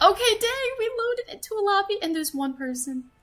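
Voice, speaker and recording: A woman speaks over noticeable background noise. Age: 20s. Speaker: gaming streamer. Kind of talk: casual live stream chat.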